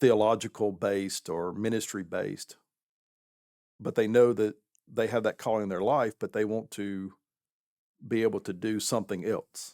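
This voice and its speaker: In a Southern US accent, a man with a dark, mellow tone and fairly low pitch talks at a moderate pace with fairly even intonation over a very clean recording and silent background. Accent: Southern American. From southern United States. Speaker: pastor; military veteran. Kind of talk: podcast interview answer.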